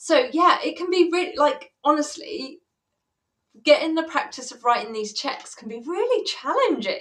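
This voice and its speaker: A woman with an English accent at an extremely high pitch, with very wide pitch swings and a moderate pace. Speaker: money coach. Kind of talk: live stream chat.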